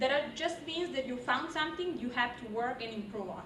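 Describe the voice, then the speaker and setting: Her pitch is high and her intonation lively, with a non-native accent. The woman is heard with audible room echo and noticeable background noise. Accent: foreign. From outside the US. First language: not English. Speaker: university student. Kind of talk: class presentation.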